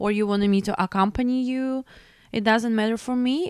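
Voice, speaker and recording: A woman with a Belarusian accent speaks at a moderate pace in a fairly high pitch with fairly even intonation, the sound dry and close with no echo. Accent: non-native English, Belarusian. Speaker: opera singer and music teacher. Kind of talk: interview conversation. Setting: studio. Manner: halting.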